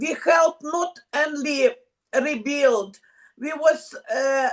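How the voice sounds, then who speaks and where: Very slowly and with fairly even intonation, a high-pitched woman speaks with a Ukrainian accent. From Ukraine. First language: Ukrainian or Russian. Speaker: women's club member from a war zone. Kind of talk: video call panel interview. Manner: halting.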